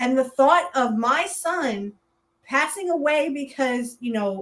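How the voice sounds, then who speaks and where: A woman shouts loudly at high pitch with lively intonation. Her pace is very slow. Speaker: podcast co-host. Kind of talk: casual political chat. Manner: loud, yelling.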